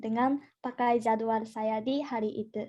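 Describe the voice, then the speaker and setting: A woman with a Japanese accent speaks in a dark, mellow tone. Her intonation is fairly even, and the background is quiet. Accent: Japanese accent in Indonesian. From Japan, Gifu. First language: Japanese (speaking Indonesian). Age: 20s. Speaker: university student. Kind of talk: presentation. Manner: halting, many fillers and restarts.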